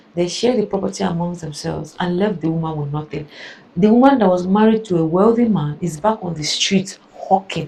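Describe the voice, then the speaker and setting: A woman's animated, fairly low voice at a fairly quick clip, with ordinary pitch variation and noticeable background noise. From Nigeria (Igbo). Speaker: reaction video creator. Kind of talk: reaction commentary.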